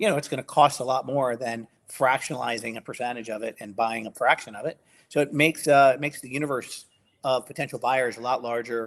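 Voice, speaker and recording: A man talks very fast. His pitch sits in the middle range. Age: 60s. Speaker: domain industry veteran. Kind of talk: live podcast conversation.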